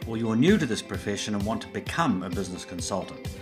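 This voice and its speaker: Over music in the background, a man with a fairly low pitch talks at a fairly quick pace. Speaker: business consultant, podcast host. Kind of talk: podcast intro and interview questions.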